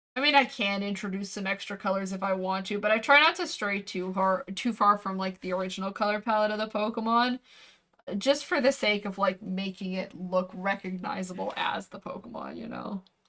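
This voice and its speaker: With a plain, everyday voice, a woman speaks fairly quickly at medium pitch, her pitch varying in an ordinary way and her loudness swinging widely. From Canada. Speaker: VTuber streamer and artist. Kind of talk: casual livestream chat while drawing. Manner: relaxed, chatty.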